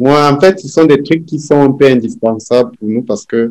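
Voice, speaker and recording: The voice has a dark, mellow tone and moves at a fairly slow pace with ordinary pitch variation. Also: man. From Cameroon. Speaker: immigrant panel guest. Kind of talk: casual panel discussion.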